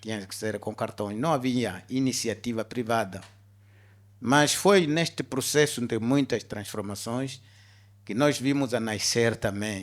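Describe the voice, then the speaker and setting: A man talks at medium pitch and a fairly slow pace, with ordinary pitch variation and a normal speaking voice. The recording is very clean, with a silent background. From Angola. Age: 60s. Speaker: business executive. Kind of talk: interview on stage. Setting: stage with audience.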